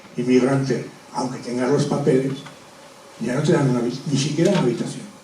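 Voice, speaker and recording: A man with a fairly high pitch speaks at a fairly quick pace amid noticeable background noise and audible room echo. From Spain, Zaragoza (Aragon). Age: 60s. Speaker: former river basin authority safety engineer. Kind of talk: public talk. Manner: halting.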